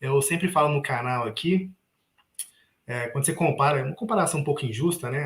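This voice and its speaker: With a Minas Gerais accent, a man speaks very fast in a somewhat breathy, fairly high voice with ordinary pitch variation. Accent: Minas Gerais (mineiro). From Minas Gerais, Brazil. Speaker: investment youtuber. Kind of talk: live panel discussion.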